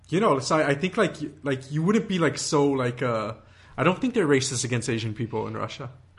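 Somewhat breathy, a man speaks fairly quickly at a fairly high pitch with lively intonation. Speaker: podcast host. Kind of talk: casual chat.

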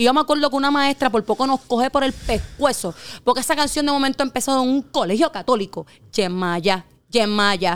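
With a Puerto Rican accent, a woman speaks fairly quickly at a high pitch with lively intonation, on a very clean recording with a silent background. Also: very even loudness. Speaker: teacher. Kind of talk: casual chat.

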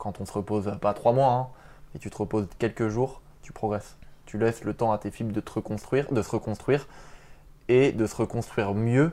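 Speaking at a moderate pace, a man has a medium pitch, fairly even intonation and a dark, mellow tone. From Paris region, France. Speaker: street workout athlete and doctoral student. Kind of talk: casual interview.

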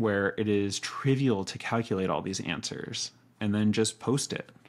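At a moderate pace, a man with a fairly low pitch talks in an unremarkable speaking voice. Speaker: podcast host. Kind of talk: podcast interview.

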